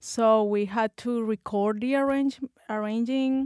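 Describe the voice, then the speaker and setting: Speaking with a Spanish accent, a woman has a fairly high pitch and fairly even intonation. The sound is dry and close with no echo, on a very clean recording with a silent background. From Colombia. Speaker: bassist and music student. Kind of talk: interview. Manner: halting.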